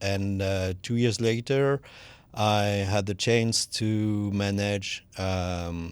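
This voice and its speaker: Speaking very slowly with a French accent, a man keeps his intonation fairly even at a fairly low pitch. The recording is very clean, with a silent background. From southwest France, near Toulouse. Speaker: energy efficiency expert. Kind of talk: podcast interview. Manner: halting.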